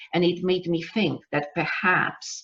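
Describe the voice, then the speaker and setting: A woman speaks in a Polish accent at a very slow pace. Her pitch is fairly low. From Poland. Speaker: business coach. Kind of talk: webinar masterclass. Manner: halting.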